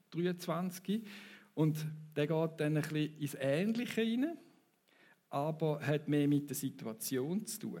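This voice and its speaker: In a Thurgau accent, a man speaks very slowly, his high-pitched voice dark and mellow in tone. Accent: Thurgau Swiss German dialect. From Switzerland, Thurgau. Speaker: preacher. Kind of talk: sermon. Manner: conversational, audience interaction.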